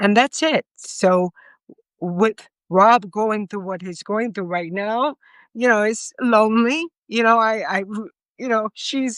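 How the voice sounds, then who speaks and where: An American-accented woman's fairly high voice at a very slow pace, with ordinary pitch variation and a dry, close sound with no echo against a quiet background. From New York City (Bronx). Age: 50s. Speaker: podcast guest. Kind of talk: casual chat.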